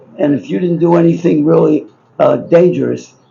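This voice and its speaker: Noticeable background noise sits behind a man who has an American accent. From Baltimore, Maryland, US. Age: 80s+. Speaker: businessman and book subject. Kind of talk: storytelling. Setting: bookshop event with live audience. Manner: rambling, halting.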